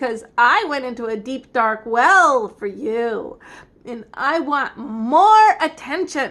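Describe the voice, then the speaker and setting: A woman performs in a put-on character voice. Her pitch is high and her pace fairly slow. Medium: read story. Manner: pushy, demanding.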